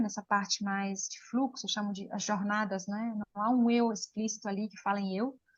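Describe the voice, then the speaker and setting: With an Italian accent, a woman speaks at a fairly high pitch and moderate pace, sounding somewhat breathy. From Switzerland, Lugano (Italian-speaking). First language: Italian (speaking Portuguese). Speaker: poet. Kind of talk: interview. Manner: halting.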